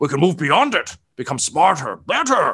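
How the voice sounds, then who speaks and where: A man puts on a character voice. He pitches it fairly high. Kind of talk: political speech. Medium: actual play. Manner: rambling, self-satisfied.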